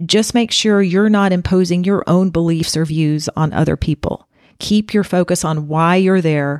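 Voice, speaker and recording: Speaking at a moderate pace, a woman uses a fairly low pitch with ordinary pitch variation. The recording is very clean, with a silent background and a dry, close sound with no echo. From US South. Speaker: leadership coach and podcast host. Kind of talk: solo podcast talk, advice monologue.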